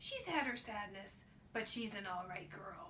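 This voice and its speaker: A woman puts on a character voice in a gentle tone at a medium pitch. She keeps a moderate pace over clear background noise. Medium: read story. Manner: folksy, gentle.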